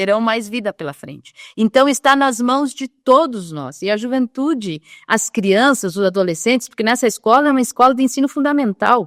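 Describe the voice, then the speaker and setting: With a fairly high pitch and lively intonation, a woman with an ordinary speaking voice talks at a moderate pace with hardly any pauses, in a dry, close sound with no echo. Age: 60s. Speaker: social worker at a church charity. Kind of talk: podcast interview.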